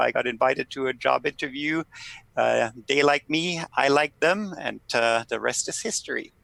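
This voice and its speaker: A man with a German accent, bright, sharp tone and lively intonation, in a dry, close sound with no echo. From Germany. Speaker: political scientist. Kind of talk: podcast interview.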